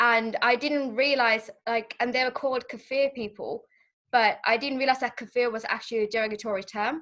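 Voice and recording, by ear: With a fairly bright tone and fairly even intonation, a woman speaks at a fairly high pitch and a fairly quick pace.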